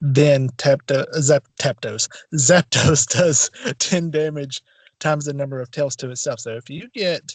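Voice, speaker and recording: A somewhat breathy man talks at a fairly slow pace, with big swings in loudness and ordinary pitch variation. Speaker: podcast co-host. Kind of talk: casual chat. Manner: soft-spoken. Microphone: poor audio, drowned out.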